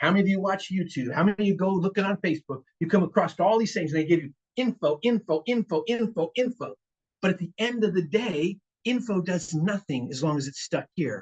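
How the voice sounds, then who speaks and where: A man with an American accent, high-pitched, at a fairly quick pace, ordinary pitch variation, and a dry, close sound with no echo. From Richmond, California. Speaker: guest speaker on finance and investing. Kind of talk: seminar talk to a live audience. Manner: fast; animated.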